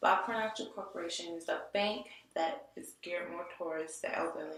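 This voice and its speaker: In an American accent, a woman speaks at a medium pitch and moderate pace with fairly even intonation, with audible room echo and noticeable background noise. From Detroit area, Michigan. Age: 20s. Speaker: graphic design student. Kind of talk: portfolio presentation. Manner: halting, many restarts and fillers.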